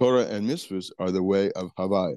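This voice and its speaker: Speech at a moderate pace over a quiet background. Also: man. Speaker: religious teacher. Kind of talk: lecture. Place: kitchen. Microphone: earbuds.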